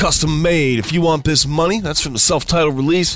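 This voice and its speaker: Over music in the background, a man with an upbeat, energetic tone speaks at a fairly quick pace and fairly high pitch, with ordinary pitch variation. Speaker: radio host. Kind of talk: scripted radio host patter, promo-style intros and outros. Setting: internet radio studio. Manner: upbeat, energetic, enthusiastic.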